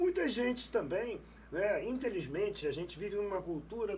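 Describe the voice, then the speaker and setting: The voice belongs to a man. He varies his pitch in an ordinary way. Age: 60s. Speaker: non-verbal language expert. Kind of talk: interview.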